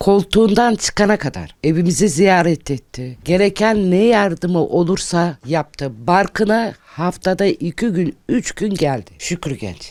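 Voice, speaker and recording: Speaking at a very slow pace with hardly any pauses, a woman uses lively intonation at a fairly low pitch, on a very clean recording with a silent background. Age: 60s. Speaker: grandmother of injured worker. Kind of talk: interview testimony. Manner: emphatic.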